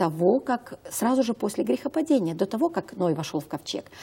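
Her tone is dark and mellow, and somewhat breathy. The woman's pitch swings very widely at a moderate pace. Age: 50s. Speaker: health consultant; talk show guest. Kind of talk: talk show interview. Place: studio. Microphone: lapel.

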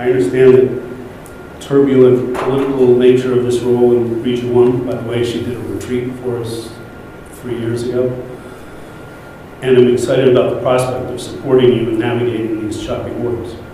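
With strong room echo and light background noise, a man talks at a moderate pace in a monotone, flat intonation. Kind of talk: reading a letter aloud at a meeting. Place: hall.

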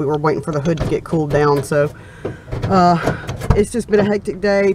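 A woman's normal speaking voice, fairly low in pitch, at a moderate pace, with a dry sound with no echo and light background noise. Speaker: vlogger. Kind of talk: casual vlog chat. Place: car. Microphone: phone near.

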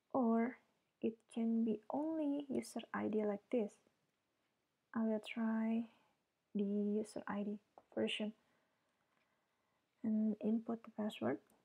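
With long, frequent pauses, a woman speaks very slowly in a fairly high, somewhat breathy voice that has a dark, mellow tone and fairly even intonation. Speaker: blogger. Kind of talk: screen-recording tutorial.

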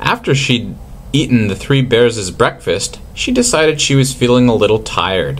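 Someone reads in a natural reading voice, the pitch varying by an ordinary amount.

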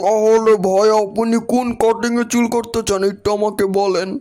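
A man speaks in a cartoonish character voice with a high pitch and a flat, monotone delivery. His pace is fairly slow. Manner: polite, matter-of-fact.

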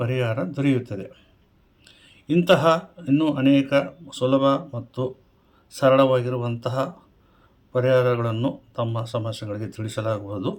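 A man speaks in an ordinary speaking voice. His pitch is medium, with ordinary pitch variation. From Koppal, north Karnataka, India. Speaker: astrologer and numerologist. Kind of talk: advice monologue to camera. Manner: formal.

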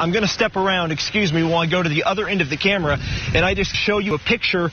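A man at a very fast pace and high pitch, with noticeable background noise. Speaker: TV news reporter and anchor. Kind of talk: TV news reporter narration and stand-ups.

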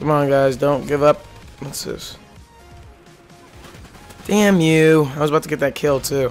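With music in the background, a man speaks at a fairly slow pace and fairly high pitch. He leaves long, frequent pauses. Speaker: gaming commentator. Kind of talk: live gameplay reactions.

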